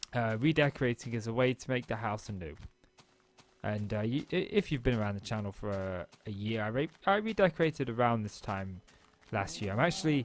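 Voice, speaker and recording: Mumbling at a fairly quick pace, a man with a medium pitch uses lively intonation. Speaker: gaming YouTuber. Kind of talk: casual gameplay vlog monologue. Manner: fast.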